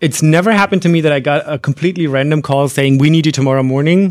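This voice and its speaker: This is a man. He talks at a very fast pace. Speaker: podcast co-host and conference interpreter. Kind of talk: live podcast recording, Q&A with students. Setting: interpreting suite with live audience. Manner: fast talker.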